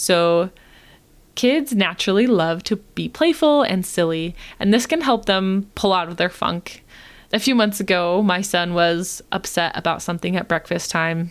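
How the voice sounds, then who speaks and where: In a very clean recording with a silent background, a woman with an unremarkable speaking voice talks at a medium pitch and a moderate pace. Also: ordinary pitch variation. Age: 20s. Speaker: podcast host, screen time mentor for moms. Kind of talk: solo podcast advice talk.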